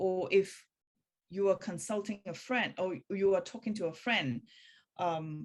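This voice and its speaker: A woman with a non-native accent at a medium pitch, fairly slow pace, ordinary pitch variation and long, frequent pauses. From Hong Kong. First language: Cantonese. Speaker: spiritual practice teacher. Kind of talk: talk in a practitioner meeting. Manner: halting.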